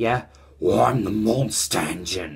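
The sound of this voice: Growling in a put-on character voice, a man speaks slowly-ish at a fairly low pitch.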